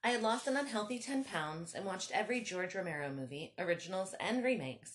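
Here is a natural reading voice. It reads the text aloud.

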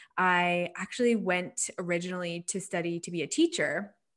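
This is a normal speaking voice with ordinary pitch variation. It moves at a fairly quick pace over a quiet background. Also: woman. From Nova Scotia, Canada. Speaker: digital marketing agency owner. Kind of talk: casual interview chat.

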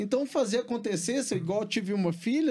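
In a very clean recording with a silent background, a man speaks at a moderate pace with lively intonation at a high pitch. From Brazil, Belo Horizonte (Minas Gerais). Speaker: entrepreneur and studio owner. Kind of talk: interview. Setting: studio.

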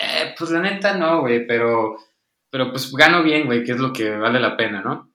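A man speaks at a fairly slow pace and medium pitch. His intonation is lively, with audible room echo. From Tijuana, northern Mexico. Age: 20s. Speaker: writer and psychologist. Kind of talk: casual chat.

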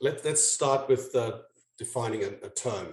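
A man with an American accent speaks at a moderate pace and medium pitch. His delivery is monotone and flat, and somewhat breathy. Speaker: sales executive and author. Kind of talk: interview. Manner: halting, repeats words.

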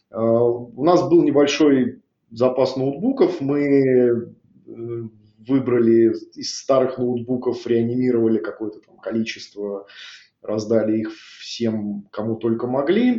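With an ordinary speaking voice, a man holds a medium pitch and fairly even intonation. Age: 40s. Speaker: IT division head. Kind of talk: corporate interview.

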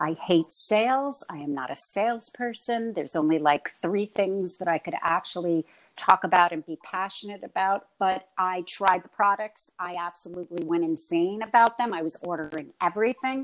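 With an American accent and an ordinary speaking voice, the speaker uses lively intonation at a moderate pace with hardly any pauses, in a very clean, dry, close recording with a silent background and no echo. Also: woman, medium pitch for a woman. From New York. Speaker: actress and acting teacher. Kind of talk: casual interview chat.

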